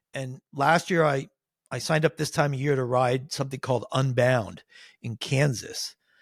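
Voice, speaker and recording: With a Pennsylvania accent, a man speaks at a medium pitch and a moderate pace, somewhat breathy, with fairly even intonation, on a very clean recording with a silent background and a dry, close sound with no echo. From Pennsylvania, Nazareth area (Poconos). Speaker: cycling advisor, amateur endurance cyclist. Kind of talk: interview, casual chat.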